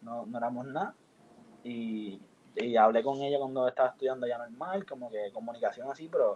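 Here a man talks at a fairly quick pace with medium pitch. He has an ordinary speaking voice. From Puerto Rico, San Juan. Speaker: university student. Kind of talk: casual chat.

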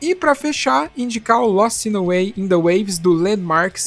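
A man with a high pitch at a fairly quick pace, amid noticeable background noise. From interior of São Paulo state, Brazil. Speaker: podcaster, punk music fan. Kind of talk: casual chat.

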